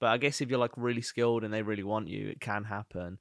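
With a Birmingham accent, a man talks very fast at a fairly low pitch and fairly even intonation, on a very clean, dry, close recording with a silent background and no echo. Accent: Birmingham (Brummie). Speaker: podcast co-host, freelancer. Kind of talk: casual banter chat, comedic.

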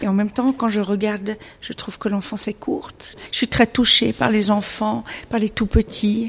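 A woman's somewhat breathy, fairly high voice at a moderate pace, with ordinary pitch variation. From Switzerland. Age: 50s. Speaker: illustrator. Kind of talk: interview.

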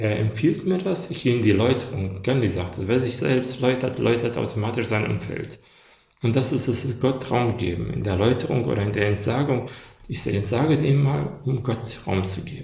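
Speech at a moderate pace with ordinary pitch variation, audible room echo and noticeable background noise. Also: man, medium pitch for a man. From Germany, moved from Bosnia-Herzegovina as child. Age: 40s. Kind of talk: casual chat. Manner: halting.

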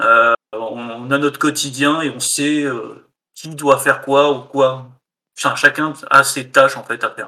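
Very slowly, a man speaks in a bright, sharp tone at a fairly high pitch. His intonation is monotone and flat, but his loudness swings a lot. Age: 30s. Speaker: indie game developer. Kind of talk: casual interview.

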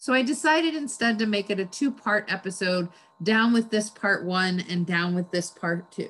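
A woman uses an unremarkable speaking voice, medium in pitch, moving at a moderate pace with ordinary pitch variation. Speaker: podcast host. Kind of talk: podcast conversation.

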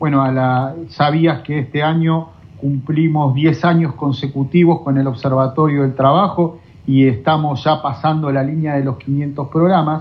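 There is noticeable background noise behind a man with a fairly high pitch. He speaks at a fairly slow pace with fairly even intonation. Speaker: radio host. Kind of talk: interview.

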